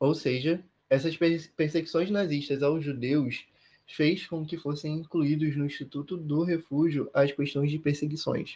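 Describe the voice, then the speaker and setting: In a very clean recording with a silent background, a man with a fairly high pitch speaks fairly slowly in a somewhat breathy, monotone voice with flat intonation. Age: 20s. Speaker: law student and academic researcher. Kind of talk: interview.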